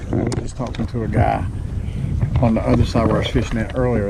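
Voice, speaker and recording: The intonation here is lively. Noticeable background noise and audible room echo surround the voice. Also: man. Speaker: kayak fishing vlogger. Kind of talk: casual vlog narration. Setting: outdoors on a kayak. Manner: loud.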